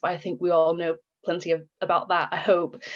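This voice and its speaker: With an American accent, a woman speaks at a moderate pace in a fairly low pitch. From United States. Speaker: social entrepreneur. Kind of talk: panel interview. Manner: hesitant, many fillers.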